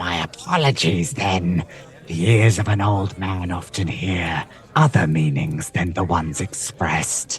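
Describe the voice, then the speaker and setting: A put-on character voice with lively intonation. It moves at a fairly slow pace. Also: man, very deep, low pitch for a man. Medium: actual play. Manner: refined, archly polite.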